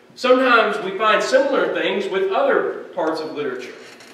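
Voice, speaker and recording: Lively intonation at a moderate pace comes through with audible room echo. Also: man. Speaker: preacher. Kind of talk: sermon. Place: church.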